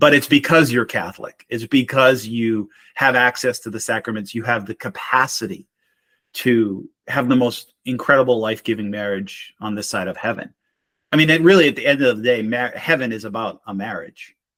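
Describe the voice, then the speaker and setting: A man speaks with a slight Boston accent and ordinary pitch variation. Music plays in the background. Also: medium pitch for a man, moderate pace. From Boston, Massachusetts. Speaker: marriage mentor and military veteran. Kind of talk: casual interview conversation.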